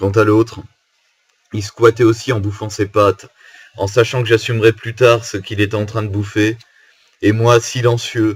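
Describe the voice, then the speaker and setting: A man's fairly low, monotone, flat delivery at a moderate pace, broken by long, frequent pauses. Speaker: musician. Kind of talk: casual talk to camera. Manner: storytelling, informal.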